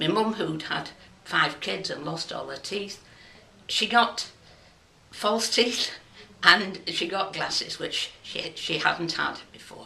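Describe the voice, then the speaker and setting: With a Lancashire accent, a woman at medium pitch speaks at a very slow pace, with long, frequent pauses, big swings in loudness and ordinary pitch variation. Audible room echo and noticeable background noise come through as well. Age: 70s. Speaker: local resident sharing memories. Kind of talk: personal testimony.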